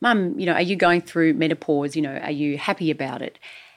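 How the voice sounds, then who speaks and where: Fairly quick and fairly low, a woman with an unremarkable speaking voice shows ordinary pitch variation on a very clean recording with a silent background. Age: 50s. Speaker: host's wife, community voice. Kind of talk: casual chat.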